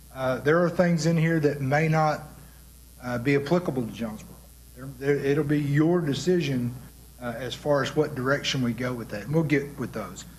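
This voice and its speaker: Audible room echo surrounds a man speaking with a fairly high pitch. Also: ordinary pitch variation. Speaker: city official leading a committee meeting. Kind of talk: committee meeting presentation. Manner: fast.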